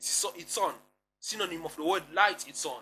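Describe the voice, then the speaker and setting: A man speaks in a high pitch. Music plays in the background. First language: Kongo. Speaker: religious commentator. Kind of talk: online lecture. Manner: halting, repetitive.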